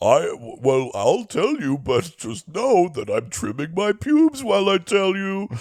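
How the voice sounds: A man puts on a character voice pitched high. His pitch swings very widely.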